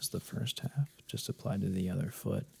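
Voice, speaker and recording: A man speaks in a calm tone, soft-spoken throughout. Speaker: massage ASMR creator. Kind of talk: soft-spoken ASMR massage commentary. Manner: soft-spoken, calm.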